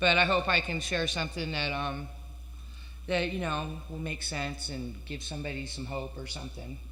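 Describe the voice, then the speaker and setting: Moderate pace and audible room echo. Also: woman. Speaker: recovering addict speaker at a meeting. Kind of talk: recovery meeting share. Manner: halting.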